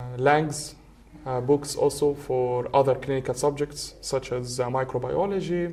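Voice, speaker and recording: In an Arabic accent, a man speaks at a moderate pace with a fairly high pitch. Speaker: medical student. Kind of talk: casual chat.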